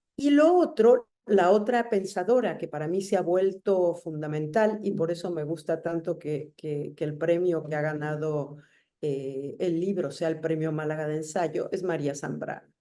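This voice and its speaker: A woman's fairly low, dark, mellow voice at a fairly slow pace with hardly any pauses. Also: ordinary pitch variation. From Argentina, raised in Mexico from childhood. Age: 60s. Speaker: writer. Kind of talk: interview.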